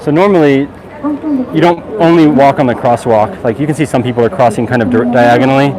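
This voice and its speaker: Over noticeable background noise, a man with a fairly high pitch talks at a very fast pace with lively intonation. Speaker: walking tour vlogger. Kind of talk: live stream walking commentary. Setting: outdoors on city streets. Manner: loud, raised voice over street noise.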